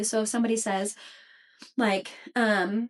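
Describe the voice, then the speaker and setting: A woman at a fairly slow pace, fairly high in pitch, with ordinary pitch variation. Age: 30s. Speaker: podcast host. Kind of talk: casual solo podcast talk. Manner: deliberately slower than usual.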